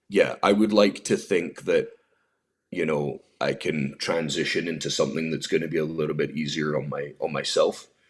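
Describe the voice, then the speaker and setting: At a moderate pace, a man speaks in a Scottish accent. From Scotland. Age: 30s. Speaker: HVAC business owner. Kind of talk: casual chat.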